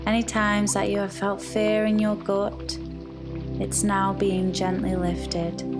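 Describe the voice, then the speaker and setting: Very slow, very evenly loud speech with hardly any pauses over music in the background. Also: woman. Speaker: meditation guide. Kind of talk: guided meditation. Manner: slow, soft-spoken.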